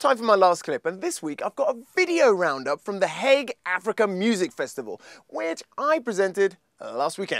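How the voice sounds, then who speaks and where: Very wide pitch swings at a moderate pace against a quiet background. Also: man, dry sound with no echo. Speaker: video blog host. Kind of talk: casual vlog chat. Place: home room. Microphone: phone near.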